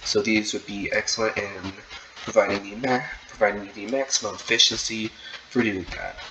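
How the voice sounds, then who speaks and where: Over noticeable background noise, a man speaks at a moderate pace with a medium pitch and fairly even intonation. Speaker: gaming tutorial creator. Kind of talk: tutorial. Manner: halting, many repeated words.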